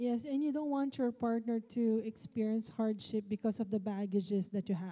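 Over a quiet background, a woman speaks at a moderate pace in a fairly high pitch, her dark, mellow tone somewhat breathy, with ordinary pitch variation and very even loudness. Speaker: high school teacher and panelist; high school teacher, panelist. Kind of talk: panel discussion. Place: church. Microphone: handheld.

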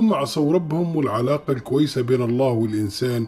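Over music in the background, a man with lively intonation and a medium pitch talks at a moderate pace. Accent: Tripolitanian. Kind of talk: religious story narration.

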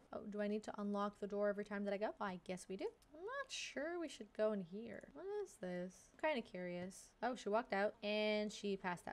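Ordinary pitch variation from a woman speaking at a fairly quick pace. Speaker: gaming video creator. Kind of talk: casual let's play commentary. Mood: curious, surprised reactions. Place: home room. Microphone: headset.

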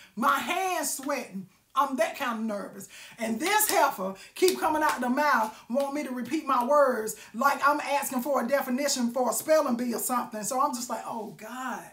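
A woman speaks loudly at a moderate pace, her high-pitched voice animated and her intonation lively. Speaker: live-stream vlogger. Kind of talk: casual storytelling monologue. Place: home room. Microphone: phone near.

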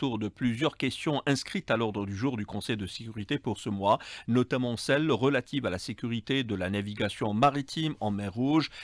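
Fairly quick delivery with ordinary pitch variation, dry sound with no echo and a quiet background. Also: man. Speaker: radio news presenter. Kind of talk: news bulletin reading. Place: studio. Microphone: studio mic.

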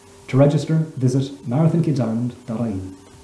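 Ordinary pitch variation runs through a man's speech, with audible room echo around it. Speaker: primary school teacher. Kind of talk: promotional message to camera. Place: home room. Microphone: webcam.

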